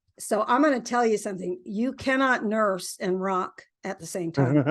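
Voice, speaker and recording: A woman with an American accent uses a normal speaking voice, fairly high in pitch, at a moderate pace. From US South. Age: 60s. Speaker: singer-songwriter. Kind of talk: interview.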